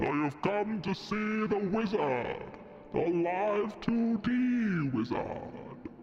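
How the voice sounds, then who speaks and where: Using a put-on character voice, a man speaks at a high pitch and a very slow pace. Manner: booming.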